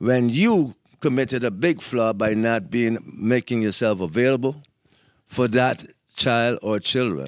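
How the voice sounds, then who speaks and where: Over a silent background in a very clean recording, a man with a normal speaking voice talks at a fairly slow pace and medium pitch, with ordinary pitch variation and very even loudness. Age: 60s. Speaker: podcast host's father, grandfather. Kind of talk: casual chat.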